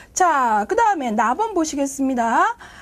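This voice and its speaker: Talking at a moderate pace, a woman swings her pitch very widely. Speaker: exam prep lecturer. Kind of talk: online lecture.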